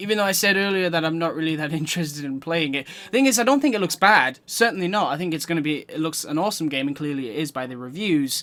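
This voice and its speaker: A man talks at a very fast pace in a British accent. His tone is bright and sharp. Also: fairly high pitch for a man, lively intonation, hardly any pauses. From Britain. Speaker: gaming streamer. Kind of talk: live gameplay commentary. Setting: live stream.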